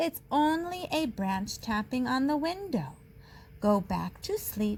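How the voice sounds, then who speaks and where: A woman's put-on character voice, high in pitch and fairly slow in pace, over clear background noise. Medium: read story. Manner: calm, weary.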